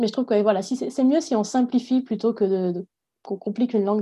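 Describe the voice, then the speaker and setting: At a fairly quick pace, a woman speaks with a dark, mellow, somewhat breathy tone and ordinary pitch variation. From southwest France, Agen. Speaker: PhD student and university lecturer. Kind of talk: interview.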